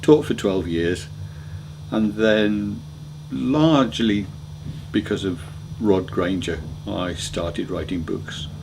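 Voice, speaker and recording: Very slow and broken by long, frequent pauses, a man's very deep, low voice carries lively intonation. Audible room echo and noticeable background noise sit behind him. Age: 60s. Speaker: motoring author. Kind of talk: interview answers. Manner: hesitant, with ums and repeated words.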